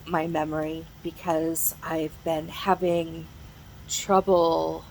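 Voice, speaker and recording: A woman with a fairly low voice talks over noticeable background noise. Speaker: mental health vlogger. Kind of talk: casual chat. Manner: slow; halting.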